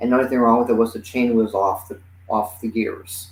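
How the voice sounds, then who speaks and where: An ordinary speaking voice moves at a fairly quick pace. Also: man. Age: 60s. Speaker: comedian. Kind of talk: casual chat.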